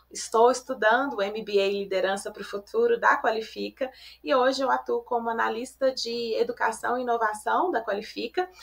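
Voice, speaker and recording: A woman with a Belo Horizonte accent, fairly high in pitch, at a moderate pace with ordinary pitch variation, over noticeable background noise. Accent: Belo Horizonte (mineiro). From Belo Horizonte, Brazil. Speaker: podcast co-host, corporate education analyst. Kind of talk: podcast interview. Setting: video call from home office.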